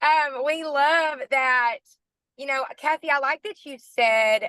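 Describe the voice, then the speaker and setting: A woman's raised, projected voice with an American accent, high pitch, bright, sharp tone and ordinary pitch variation, very slow pace, and a dry, close sound with no echo. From Arkansas, US South. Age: 30s. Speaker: network marketing team leader. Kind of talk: team call motivational talk. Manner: animated.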